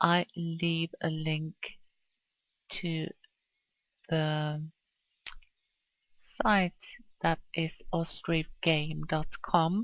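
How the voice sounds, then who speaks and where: At a very slow pace, with long, frequent pauses, the speaker talks in a Swedish accent. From Sweden. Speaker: video game streamer. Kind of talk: gameplay commentary. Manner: casual, hesitant.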